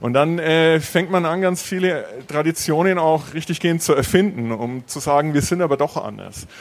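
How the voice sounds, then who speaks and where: A man talks with an ordinary speaking voice, a fairly high pitch, ordinary pitch variation and a moderate pace. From Franconia, Bavaria. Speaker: university Japan studies scholar. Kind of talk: panel Q&A at live event.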